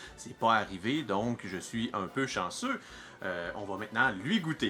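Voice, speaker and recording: Music plays in the background as a man with a Quebec accent speaks fairly slowly at a medium pitch, with ordinary pitch variation. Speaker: home cheesemaker, video host. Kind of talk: cheese tasting video. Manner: casual, chatty.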